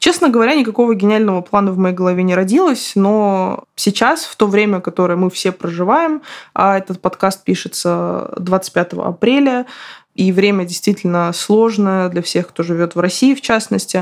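In a plain, everyday voice, a woman talks at a medium pitch and moderate pace with ordinary pitch variation. The recording is very clean, with a silent background. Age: 30s. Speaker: podcast host, writer. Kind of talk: solo podcast monologue.

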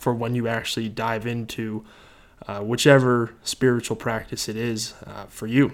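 Medium pitch from a man, monotone and flat, at a moderate pace. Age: 20s. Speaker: podcaster. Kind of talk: solo podcast monologue. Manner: casual, with many filler words.

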